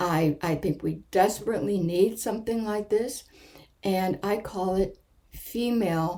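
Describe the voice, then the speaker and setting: A woman speaks very slowly at a medium pitch. Her tone is dark and mellow. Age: 70s. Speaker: author. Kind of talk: video talk. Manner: hesitant, with fillers and restarts.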